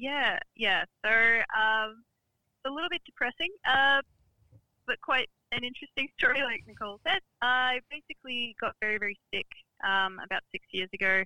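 Someone speaks at a moderate pace in an Australian accent. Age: 30s. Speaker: business founder. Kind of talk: interview.

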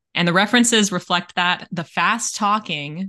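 The tone is bright and sharp, at a moderate pace. The background is quiet. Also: woman. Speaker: podcast co-host. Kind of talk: casual chat. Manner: talkative.

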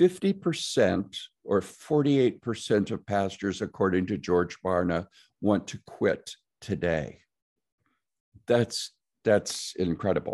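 A man with an American accent at a very slow pace, with long, frequent pauses and a quiet background. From Nebraska. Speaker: pastor and mental health ministry leader. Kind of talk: interview.

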